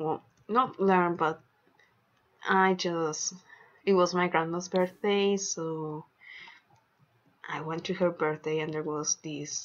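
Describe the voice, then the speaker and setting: Speaking at a very slow pace with a Spanish accent, a woman keeps a fairly low pitch and fairly even intonation. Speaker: gaming YouTuber. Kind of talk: gameplay commentary.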